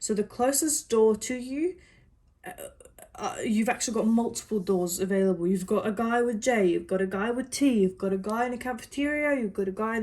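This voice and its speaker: A woman speaks at a fairly quick pace in an unremarkable speaking voice. Her fairly high pitch shows ordinary pitch variation. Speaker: psychic reader. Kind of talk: personal psychic reading.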